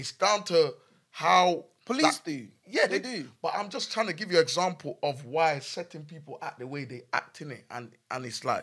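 A man with a London accent speaks at a moderate pace in a high pitch, his tone bright and sharp. His intonation is lively, and his loudness swings widely. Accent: London multicultural English. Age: young. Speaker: podcast co-host. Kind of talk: casual chat.

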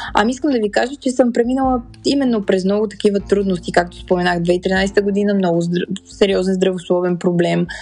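Ordinary pitch variation runs through the speech, with noticeable background noise behind it. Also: woman, medium pitch for a woman. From Bulgaria, Sofia. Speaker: podcast host. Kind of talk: personal monologue. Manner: halting.

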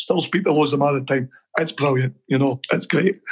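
The speaker is a man with a Scottish accent. He talks at a fairly quick pace. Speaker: football coach. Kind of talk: casual interview.

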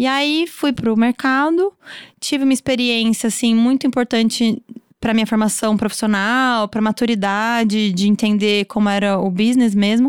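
A woman speaks in an unremarkable speaking voice at a moderate pace, her fairly high pitch showing ordinary variation and her loudness very even. The recording is very clean, dry and close, with a silent background and no echo. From Brazil, São Paulo state countryside. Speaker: fashion designer and brand owner. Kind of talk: casual interview.

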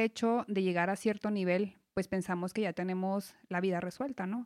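A woman with a normal speaking voice talks at a moderate pace and a medium pitch, keeping her intonation fairly even. The very clean recording is dry and close, with no echo and a silent background. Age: 30s. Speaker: financial advisor. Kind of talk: casual chat.

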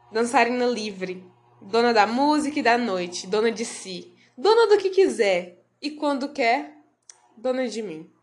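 In a room with audible echo, a woman with a fairly high pitch speaks at a fairly slow pace, her pitch swinging very widely. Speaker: literary podcast host. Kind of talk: reading aloud; casual chat.

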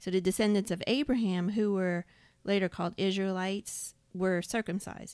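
At a moderate pace, a woman uses a normal speaking voice with a medium pitch and fairly even intonation, in a very clean recording with a silent background. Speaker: podcast co-host. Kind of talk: Bible study discussion. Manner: reads scripture aloud.

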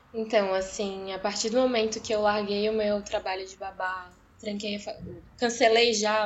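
Using a normal speaking voice, a woman talks at a moderate pace with fairly high pitch and fairly even intonation. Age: 20s. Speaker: medical student, former nursing student. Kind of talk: interview, personal story.

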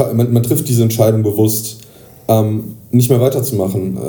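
A man's medium-pitched voice, monotone and flat in intonation, at a moderate pace with audible room echo. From northern Hesse, near Kassel. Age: 30s. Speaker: podcast host, psychiatric rehab patient. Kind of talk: casual chat. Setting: patient room in a rehab clinic. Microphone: poor recording quality.

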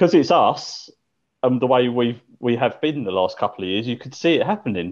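A man with an ordinary speaking voice, medium pitch, lively intonation, big swings in loudness and a fairly quick pace. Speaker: podcast co-host. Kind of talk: casual chat.

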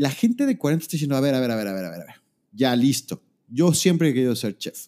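Speaking at a very fast pace, a man has a dark, mellow tone, captured in a very clean recording with a silent background and a dry, close sound with no echo. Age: 40s. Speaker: podcast host. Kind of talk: casual chat. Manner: halting, repeats words.

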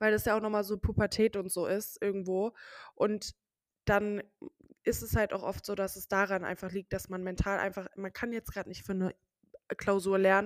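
The sound is dry and close with no echo. A woman speaks at a medium pitch and moderate pace in a monotone, flat intonation. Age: 20s. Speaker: social media creator. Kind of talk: casual chat. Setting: online call from separate locations.

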